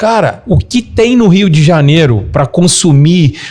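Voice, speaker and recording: Very wide pitch swings mark this fairly slow speech. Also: man. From Minas Gerais, Brazil. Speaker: travel business owner. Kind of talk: casual interview chat.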